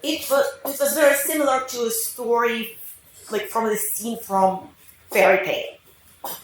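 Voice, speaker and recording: A woman at a fairly slow pace, fairly high in pitch with ordinary pitch variation, in audible room echo. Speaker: mother of the bride. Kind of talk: wedding speech.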